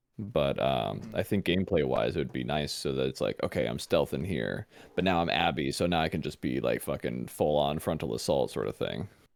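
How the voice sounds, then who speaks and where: A man with a very deep, low pitch speaks with vocal fry. His pace is fairly quick, with hardly any pauses. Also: lively intonation. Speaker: podcast co-host. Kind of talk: casual chat. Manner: loud.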